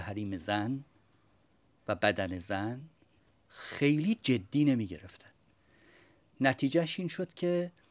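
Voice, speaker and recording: His pitch swings very widely. The man's delivery is very slow. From Iran. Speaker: religious studies scholar. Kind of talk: panel debate. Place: home room.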